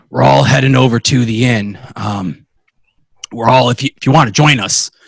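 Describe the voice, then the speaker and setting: At a moderate pace, a man performs a put-on character voice. It is raspy and sits at a medium pitch. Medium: actual play. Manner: halting, uneasy.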